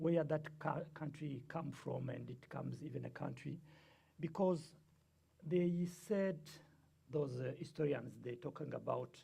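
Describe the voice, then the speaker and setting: A man with a Rwandan accent, at a fairly slow pace, with long, frequent pauses. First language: Kinyarwanda. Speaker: guest speaker on the Rwandan genocide. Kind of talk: lecture. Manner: halting, many fillers.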